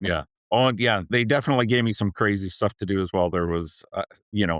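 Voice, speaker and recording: Speaking at a very fast pace, a man with a Canadian accent has a fairly low pitch and ordinary pitch variation. His sound is dry and close with no echo, over a quiet background. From Canada. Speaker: payroll leader. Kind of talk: podcast interview.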